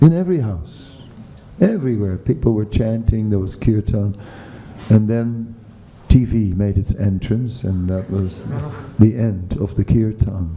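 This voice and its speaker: Fairly low-pitched speech from a man at a fairly slow pace, with ordinary pitch variation, long, frequent pauses and noticeable background noise. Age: 60s. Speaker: spiritual teacher. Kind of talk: lecture. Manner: halting.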